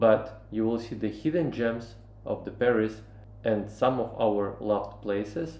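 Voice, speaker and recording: Speaking at a fairly slow pace with a non-native accent, the voice carries audible room echo. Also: man. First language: not English. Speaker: travel vlogger. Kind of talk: travel vlog. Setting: on location in Paris. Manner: halting, many fillers.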